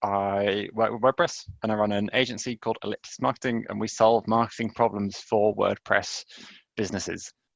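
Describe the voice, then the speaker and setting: With an English accent, a man speaks at a fairly quick pace in a fairly low voice with fairly even intonation. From England. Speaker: marketing agency founder. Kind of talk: webinar presentation. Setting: live webinar, remote.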